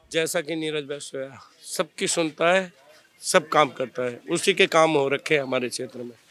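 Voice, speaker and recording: Bright and sharp in tone, a man's fairly high voice shows ordinary pitch variation and big swings in loudness. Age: 50s. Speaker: local resident interviewed. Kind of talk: street interview. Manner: animated.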